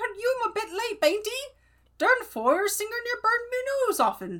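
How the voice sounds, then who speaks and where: An extremely high-pitched, put-on character voice at a moderate pace. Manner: grumbling, complaining.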